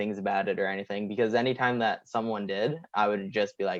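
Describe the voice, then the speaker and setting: Here is a man with an ordinary speaking voice, pitched fairly low and moving at a fairly quick pace. His intonation stays fairly even, and the sound is dry and close with no echo. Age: young. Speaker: pro wrestler. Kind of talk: casual interview chat. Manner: casual, filler-heavy.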